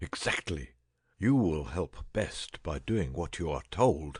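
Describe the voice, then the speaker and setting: A put-on character voice sounds croaky and swings very widely in pitch. It moves at a fairly slow pace against a quiet background. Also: man, very deep, low pitch for a man. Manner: feeble, croaking, imperious.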